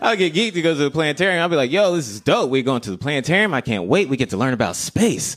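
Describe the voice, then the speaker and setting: Very fast and with hardly any pauses, a man with a fairly high voice and vocal fry swings his pitch very widely. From US South, Greensboro, North Carolina. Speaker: comedian. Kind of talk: stand-up; casual chat.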